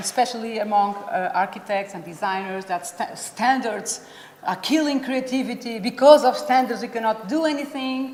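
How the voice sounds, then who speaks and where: A woman talks in a high pitch with ordinary pitch variation at a moderate pace, with audible room echo and noticeable background noise in the recording. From Portugal. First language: Portuguese. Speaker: playground safety expert. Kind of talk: conference presentation. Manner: halting.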